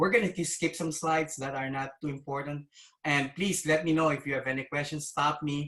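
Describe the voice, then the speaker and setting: A man with a non-native accent speaks at a fairly quick pace, his fairly high voice keeping a fairly even intonation. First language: not English. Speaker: cybersecurity executive. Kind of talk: conference presentation. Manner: hesitant, many fillers.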